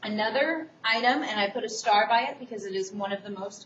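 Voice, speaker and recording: There is audible room echo and noticeable background noise as a woman with a fairly high voice speaks at a moderate pace with ordinary pitch variation. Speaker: college instructor. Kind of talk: recorded lecture for online course.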